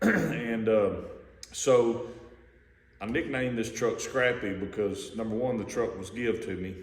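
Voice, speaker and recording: A man with an American accent speaks at a medium pitch in a relaxed, somewhat breathy tone, with ordinary pitch variation and audible room echo. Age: 50s. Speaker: hobbyist car builder. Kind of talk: casual video walkaround. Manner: relaxed, with many fillers.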